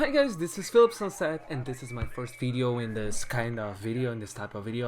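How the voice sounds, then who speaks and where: A man with a non-native accent, medium in pitch, at a moderate pace, over noticeable background noise. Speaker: YouTuber and singer. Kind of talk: casual vlog talk. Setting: in his room. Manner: halting, with restarts.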